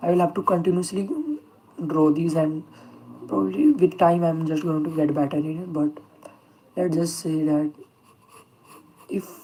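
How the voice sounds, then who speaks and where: A woman's very deep, low voice with a non-native accent, fairly even intonation, and noticeable background noise. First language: not English. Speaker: self-taught artist streamer. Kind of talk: live stream chat while drawing. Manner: halting, many fillers.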